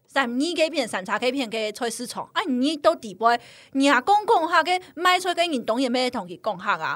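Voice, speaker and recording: A high-pitched, animated woman at a moderate pace, with very wide pitch swings. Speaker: guest. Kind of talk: casual chat.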